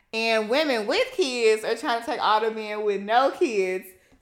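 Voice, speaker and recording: In an ordinary speaking voice, a woman with a fairly high pitch talks at a fairly slow pace with lively intonation. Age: 20s. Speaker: podcast host. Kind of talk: casual chat.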